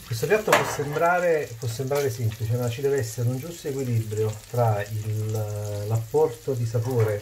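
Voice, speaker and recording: The talking proceeds at a moderate pace while loud background noise fills the clip. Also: man. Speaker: home cook host. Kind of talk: cooking tutorial. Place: kitchen. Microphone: lapel.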